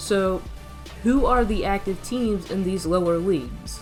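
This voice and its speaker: With music playing in the background, a woman talks in a medium pitch. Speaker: mobile game commentator. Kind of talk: game analysis narration.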